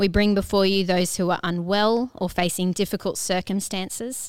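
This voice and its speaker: Here is a woman with an unremarkable speaking voice at medium pitch. Her intonation is fairly even and her pace moderate. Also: very clean recording, silent background. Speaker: church service host leading prayer. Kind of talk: prayer.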